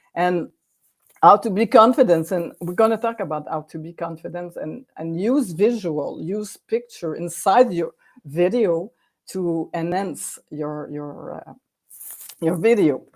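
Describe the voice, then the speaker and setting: In a French accent, a woman with a fairly low pitch speaks fairly slowly, with ordinary pitch variation and big swings in loudness. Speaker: video coach for authors and businesses. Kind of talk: online workshop presentation. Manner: halting, many repetitions and fillers.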